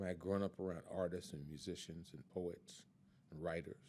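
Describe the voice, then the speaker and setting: A dark, mellow tone with ordinary pitch variation comes through in an American accent. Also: man. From Chicago, US Midwest. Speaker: retired activist and health worker. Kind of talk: oral history interview. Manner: halting, many fillers.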